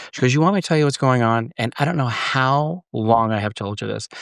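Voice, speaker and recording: Against a quiet background, a man with an American accent talks at a very fast pace in an animated tone, the sound dry and close with no echo. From Washington State, US. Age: 60s. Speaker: podcast guest. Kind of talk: casual interview chat.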